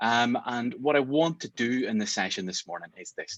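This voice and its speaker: A Northern Irish accent in a dry, close sound with no echo. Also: man. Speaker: mediation trainer. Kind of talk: online masterclass. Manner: fast; animated.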